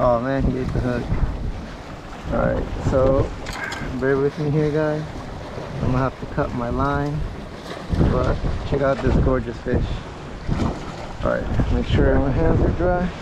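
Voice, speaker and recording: Loud background noise fills this dry recording with no echo. The speech moves at a fairly slow pace with long, frequent pauses. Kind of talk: casual vlog chat. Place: waterside. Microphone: phone near.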